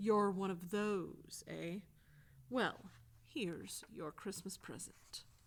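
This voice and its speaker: A woman's put-on character voice at medium pitch, sinister in tone, at a very slow pace. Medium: read story. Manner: mocking, sinister.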